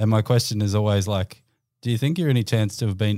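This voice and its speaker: In an Australian accent, this dark, mellow voice keeps a fairly even intonation on a very clean recording with a silent background. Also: man. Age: 30s. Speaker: sports team high performance manager. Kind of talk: casual chat.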